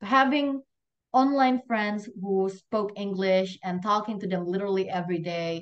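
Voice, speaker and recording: Her intonation is lively as a woman with a slight Indonesian accent speaks at a medium pitch. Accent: slight Indonesian accent, near-native English. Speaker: event host. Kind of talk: casual chat; closing remarks of online class. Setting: video call.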